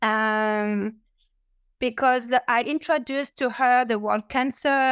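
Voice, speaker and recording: With a French accent and ordinary pitch variation, a woman speaks in a dry, close sound with no echo. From France. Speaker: cancer patient and parent. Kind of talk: support group discussion. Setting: video call.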